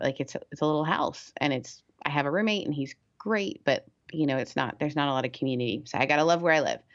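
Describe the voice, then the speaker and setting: This woman's pitch is very deep and low, with ordinary pitch variation. She talks at a very fast pace. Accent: American. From Canada. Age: 30s. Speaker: pastor and podcast host. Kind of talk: casual interview chat.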